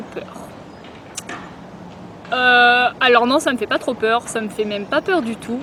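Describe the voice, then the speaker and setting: Over noticeable background noise, a woman with a high voice speaks at a moderate pace. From Grenoble, France. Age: 20s. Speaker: travel vlogger. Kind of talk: casual talk to camera. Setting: outdoors. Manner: hesitant, many filler sounds.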